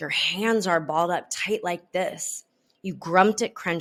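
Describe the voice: A quiet background behind plain reading aloud, the pitch varying in an ordinary way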